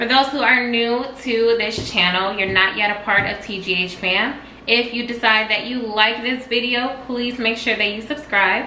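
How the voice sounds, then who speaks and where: A woman talks at a moderate pace with hardly any pauses and fairly even intonation. Audible room echo and light background noise sit around her voice. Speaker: vlog co-host. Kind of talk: casual vlog chat. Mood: playful, joking banter. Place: kitchen. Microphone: camera far.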